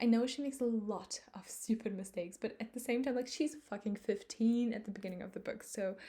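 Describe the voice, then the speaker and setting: A woman with a fairly high pitch and a dark, mellow tone talks at a fairly quick pace with hardly any pauses. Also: ordinary pitch variation. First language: not English. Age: 20s. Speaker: book vlogger. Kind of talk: casual monologue. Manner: halting, many fillers.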